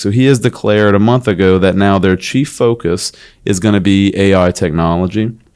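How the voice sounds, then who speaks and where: The speaker talks at a moderate pace. Pitch varies in an ordinary way. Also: man. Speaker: law firm podcast host. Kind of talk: casual chat. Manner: animated.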